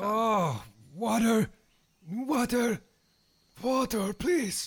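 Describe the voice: This is a put-on character voice, croaky and fairly high in pitch. It moves at a very slow pace.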